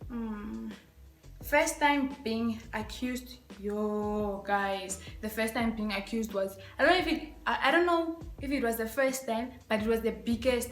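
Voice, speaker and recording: Amid noticeable background noise and audible room echo, a woman with a fairly high pitch speaks at a fairly slow pace in an animated tone. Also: ordinary pitch variation. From Africa. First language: African local language. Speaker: YouTuber. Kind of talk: casual vlog tag video.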